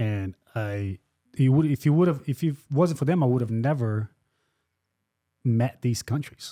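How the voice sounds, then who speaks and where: A man's dark, mellow, medium-pitched voice with a non-native accent and long, frequent pauses, in a dry, close sound with no echo. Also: ordinary pitch variation, fairly slow pace, very clean recording, silent background. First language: not English. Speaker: podcast host. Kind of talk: casual chat.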